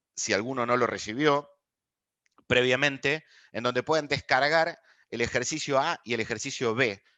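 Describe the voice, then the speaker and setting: Speaking with an Argentine accent in a bright, sharp tone, a man leaves long, frequent pauses and keeps his intonation fairly even against a quiet background. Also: medium pitch for a man, moderate pace. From Argentina. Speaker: people analytics expert, lecturer. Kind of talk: online master class.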